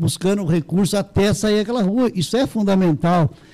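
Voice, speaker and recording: Over noticeable background noise, a man with a high voice speaks fairly quickly with ordinary pitch variation. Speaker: local politician. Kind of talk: interview. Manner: fast.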